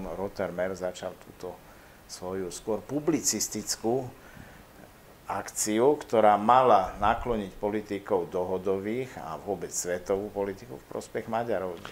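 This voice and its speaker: In a normal speaking voice, a man talks fairly slowly at a fairly low pitch, with ordinary pitch variation and big swings in loudness. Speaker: historian. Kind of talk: interview.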